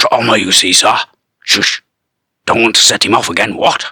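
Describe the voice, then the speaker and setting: Putting on a raspy character voice, a man talks at a moderate pace in a medium pitch. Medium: read story. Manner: clipped, posh military politeness.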